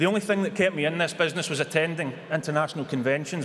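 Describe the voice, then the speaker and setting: Talking at a very fast pace with a Scottish accent, a man with a fairly high pitch keeps his intonation fairly even over noticeable background noise. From Scotland. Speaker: businessman. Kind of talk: acceptance speech at a convention.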